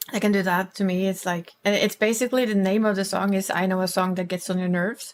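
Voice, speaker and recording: In a Norwegian accent, a woman speaks very fast at a medium pitch with a monotone, flat intonation. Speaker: streamer. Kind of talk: casual chat.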